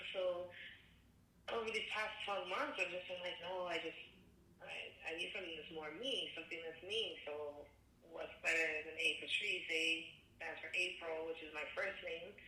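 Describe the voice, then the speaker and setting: In a Canadian accent, a woman speaks at a moderate pace and fairly low pitch with ordinary pitch variation and long, frequent pauses, amid audible room echo and noticeable background noise. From Canada, Alberta. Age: 30s. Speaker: singer. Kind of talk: interview. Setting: phone call.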